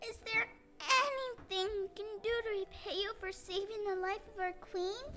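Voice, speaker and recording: A female-sounding, put-on character voice comes through at an extremely high pitch and a moderate pace. Light background noise is present. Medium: stage play.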